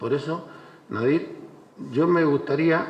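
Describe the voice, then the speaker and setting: Audible room echo and noticeable background noise surround a man who talks at a fairly slow pace with ordinary pitch variation. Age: 60s. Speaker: former mayor. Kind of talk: panel speech. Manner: halting.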